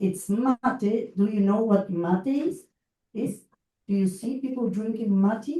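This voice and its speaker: Lively intonation and a dark, mellow tone, somewhat breathy, at a fairly slow pace. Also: woman. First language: Spanish. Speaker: education consultant and lecturer. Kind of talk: lecture. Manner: halting.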